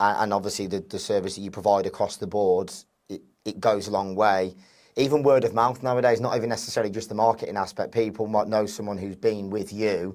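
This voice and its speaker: A man with an English accent and a fairly low pitch speaks at a very fast pace with fairly even intonation. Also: very clean recording, silent background. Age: 30s. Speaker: podcast host. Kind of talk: interview. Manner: monotone.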